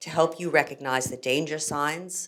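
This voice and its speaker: A woman speaks with an American accent at a moderate pace. Her intonation stays fairly even. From United States. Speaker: ethics educator, program head. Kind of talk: formal speech.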